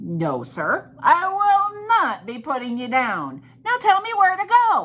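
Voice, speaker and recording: A put-on character voice, extremely high-pitched and raised to project, at a fairly slow pace. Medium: read story.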